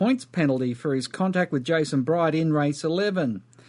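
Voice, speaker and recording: The pace is moderate. Pitch variation is ordinary. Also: man. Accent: Australian. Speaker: radio host. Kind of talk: news reading.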